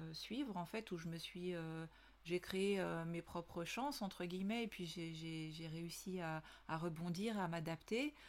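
Very slow speech from a woman, medium in pitch, with ordinary pitch variation. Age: 40s. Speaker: podcast host, business consultant. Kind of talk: solo podcast monologue. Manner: hesitant, many fillers.

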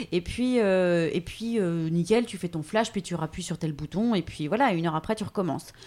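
Her tone dark and mellow, a woman talks with ordinary pitch variation. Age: 30s. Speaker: voice-over artist. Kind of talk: interview. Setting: at her home.

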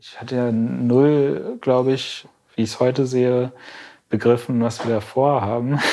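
A man speaks in a normal speaking voice at medium pitch and a fairly slow pace. His intonation is fairly even. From Berlin, Germany. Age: 20s. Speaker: climate activist. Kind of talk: interview.

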